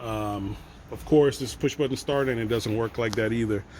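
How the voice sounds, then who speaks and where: A man uses an ordinary speaking voice with medium pitch and ordinary pitch variation. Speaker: auto mechanic / locksmith. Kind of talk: tutorial. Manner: casual, conversational.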